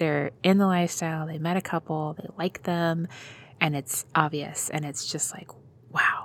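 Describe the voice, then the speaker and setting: A woman at fairly low pitch and moderate pace, monotone and flat, with big swings in loudness on a very clean recording with a silent background. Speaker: podcast host. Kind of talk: casual chat.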